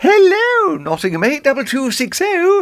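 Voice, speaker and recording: A man's put-on character voice at an extremely high pitch. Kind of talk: posh, genteel telephone voice.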